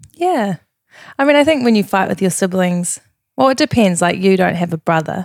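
A woman with a New Zealand accent speaks at a medium pitch and a fairly quick pace, her pitch swinging very widely. Her loudness stays very even, and the sound is dry and close with no echo. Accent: New Zealand (Kiwi). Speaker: fitness coach and former pageant contestant. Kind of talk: casual chat.

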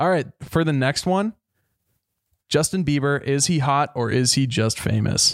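With a plain, everyday voice, a man of fairly high pitch speaks at a fairly slow pace, keeping very even loudness and ordinary pitch variation. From Minnesota, US. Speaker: podcast co-host. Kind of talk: casual chat.

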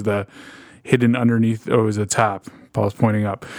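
A man talks at a fairly quick pace in a monotone, flat delivery. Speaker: therapist. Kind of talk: casual chat.

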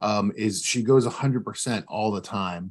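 In an American accent, an ordinary speaking voice talks at a moderate pace with lively intonation. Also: man. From West Virginia. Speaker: business owner. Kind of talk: interview.

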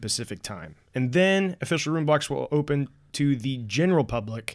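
Heard on a very clean recording with a silent background, a man in a normal speaking voice talks at a medium pitch and a moderate pace with lively intonation. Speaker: podcast host.

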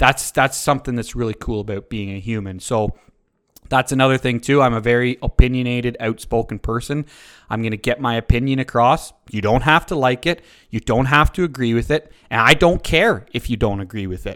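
A man speaks at a medium pitch and a fairly quick pace, with an Ontario accent and ordinary pitch variation. The recording is very clean, with a silent background and a dry, close sound with no echo. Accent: rural Ontario Canadian. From Ontario, Canada (rural, north of Uxbridge). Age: 30s. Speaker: podcast host and dairy farmer. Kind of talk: casual monologue. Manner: casual, conversational with fillers. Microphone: new microphone.

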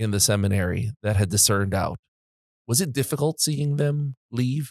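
Recorded very clean with a silent background and a dry, close sound with no echo, a man talks in a normal speaking voice at medium pitch, moderate pace and lively intonation. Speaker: podcast host. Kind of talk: casual interview.

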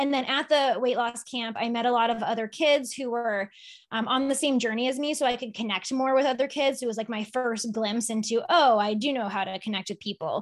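Speech comes at a fairly quick pace with hardly any pauses and ordinary pitch variation. The recording is very clean, with a silent background. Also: woman, high pitch for a woman. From Massachusetts, Boston area (Sharon). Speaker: nutritionist and life coach. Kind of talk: interview.

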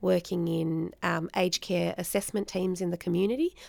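Recorded very cleanly against a silent background, a woman speaks with an Australian accent. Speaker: podcast host, social work educator. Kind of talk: casual discussion.

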